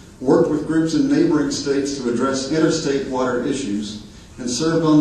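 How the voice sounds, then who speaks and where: With noticeable background noise and audible room echo, a man with an American accent speaks at a fairly quick pace. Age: 50s. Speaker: nonprofit river advocate. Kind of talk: award presentation speech.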